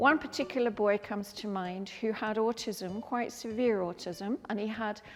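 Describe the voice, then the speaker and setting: A woman's fairly high-pitched voice at a moderate pace over background music. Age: 70s. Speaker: artist and teacher. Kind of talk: museum talk. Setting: museum.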